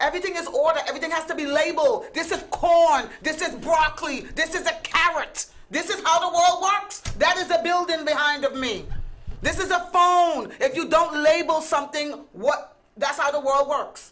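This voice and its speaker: A Caribbean accent, moderate pace and ordinary pitch variation. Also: woman, extremely high pitch for a woman. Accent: Caribbean island. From US Virgin Islands. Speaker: talk show co-host. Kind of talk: heated debate.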